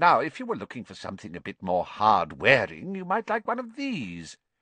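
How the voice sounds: A man puts on a character voice with a bright, sharp tone and a fairly low pitch. His pitch swings very widely, and the sound is dry and close with no echo. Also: moderate pace.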